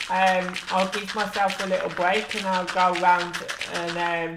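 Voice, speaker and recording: The pace is fairly slow. Noticeable background noise runs under the speech. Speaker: gaming streamer. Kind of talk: casual live-stream chat. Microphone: sometimes far from mic.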